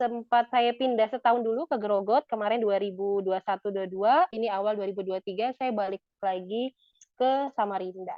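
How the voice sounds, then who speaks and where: A woman's fairly high voice, fairly quick in pace, with fairly even intonation. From Indonesia, East Kalimantan (Balikpapan). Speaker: psychologist and lecturer. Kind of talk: podcast interview. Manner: talkative; casual.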